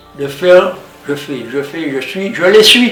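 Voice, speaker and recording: A man talks at a fairly slow pace in a high pitch, his intonation lively. Audible room echo and noticeable background noise fill the recording. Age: 80s+. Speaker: cancer patient. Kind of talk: testimony. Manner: halting.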